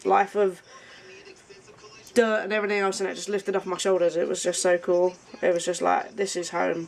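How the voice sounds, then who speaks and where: Noticeable background noise sits behind a woman speaking at a medium pitch. Her fairly quick delivery has monotone, flat intonation. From England. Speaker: craft business partner. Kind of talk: casual chat.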